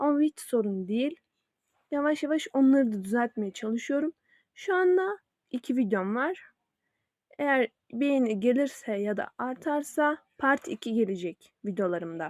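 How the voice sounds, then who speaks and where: In a very clean recording with a silent background, a woman with a high voice speaks fairly slowly, her pitch swinging very widely. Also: dry, close sound with no echo. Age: young. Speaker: YouTuber. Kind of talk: casual vlog self-introduction. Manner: hesitant with fillers.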